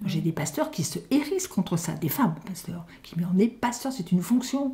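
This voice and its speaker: The voice moves at a moderate pace with very wide pitch swings, and there is noticeable background noise. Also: woman. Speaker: grandmother. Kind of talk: interview answer.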